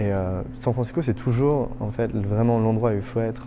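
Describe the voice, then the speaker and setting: A man's unremarkable speaking voice at a medium pitch, with fairly even intonation and a fairly quick pace. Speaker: startup hub director. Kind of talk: interview monologue.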